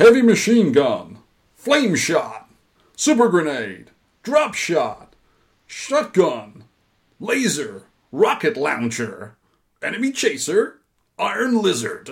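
Someone uses a put-on character voice at a very slow pace. Long, frequent pauses break up the speech. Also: man, high pitch for a man. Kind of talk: flat announcer delivery listing items.

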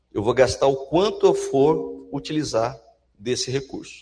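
A man is speaking. His pace is fairly slow. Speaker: university professor. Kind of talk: lecture. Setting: stage with audience. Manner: animated.

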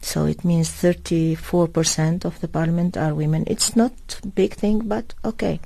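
A woman with a dark, mellow, somewhat breathy tone speaks at a fairly slow pace, her fairly low pitch showing ordinary variation. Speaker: diplomat. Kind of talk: radio interview. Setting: studio. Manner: halting.

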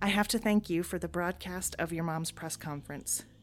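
A woman talks at a fairly quick pace and a fairly low pitch with ordinary pitch variation. Vocal fry runs through her voice. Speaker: audio drama actor voicing a character. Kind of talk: sci-fi audio drama, in-character log entry monologue. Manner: chatty, animated, sarcastic; casual, confiding, like talking to a friend.

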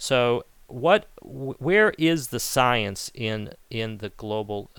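His pitch varies in an ordinary way. The man's loudness swings widely. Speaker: podcast host and author. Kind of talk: interview conversation.

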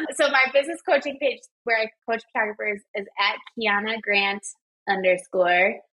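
A woman with a normal speaking voice and a fairly high pitch talks at a moderate pace with lively intonation. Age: 20s. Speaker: wedding photographer and business coach. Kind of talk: casual chat.

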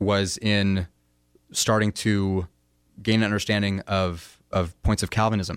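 Fairly low male voice with an American accent, monotone, flat intonation, and a dry, close sound with no echo on a very clean recording with a silent background. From United States. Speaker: atheist student activist. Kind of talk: friendly debate. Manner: halting.

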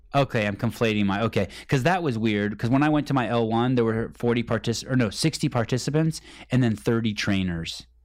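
An ordinary speaking voice at a fairly quick pace, with ordinary pitch variation, very even loudness, and a very clean recording over a silent background. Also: man, medium pitch for a man. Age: 40s. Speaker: podcast host. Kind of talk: casual chat.

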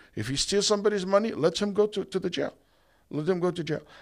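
Recorded very cleanly against a silent background, a man with a high voice speaks with an Arabic accent. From Saudi Arabia, Egypt-born. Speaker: imam and Islamic scholar. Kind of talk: podcast interview. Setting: event venue.

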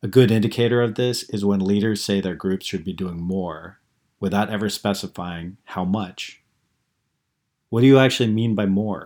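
On a very clean recording with a silent background, a man with an unremarkable speaking voice talks at a moderate pace, his fairly low pitch following a fairly even intonation. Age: 40s. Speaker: blogger reading own post. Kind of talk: reading aloud.

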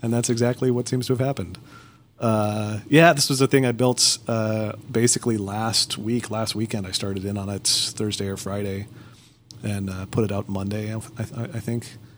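A man's fairly low voice, a normal speaking voice, at a moderate pace with fairly even intonation. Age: 30s. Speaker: podcast host. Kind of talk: casual chat.

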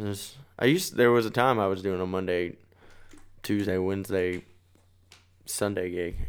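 A man with an American accent speaks in a very deep, low voice with fairly even intonation and long, frequent pauses. The recording is very clean, with a silent background. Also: moderate pace. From Texas, Bedford (DFW area). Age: 20s. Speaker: singer-songwriter. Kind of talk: casual chat. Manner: loud and expressive.

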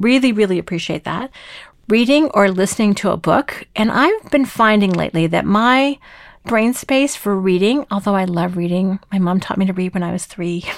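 On a very clean recording with a silent background, a woman speaks in an animated tone at medium pitch with ordinary pitch variation. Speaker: podcast host and team coach. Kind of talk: solo podcast monologue. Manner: fast.

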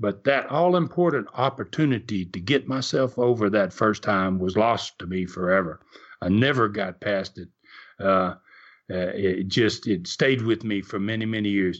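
In a Tennessee accent, a man talks at a moderate pace. His pitch is fairly low, with ordinary variation. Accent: Southern US (Tennessee). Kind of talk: storytelling interview. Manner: halting, many fillers.

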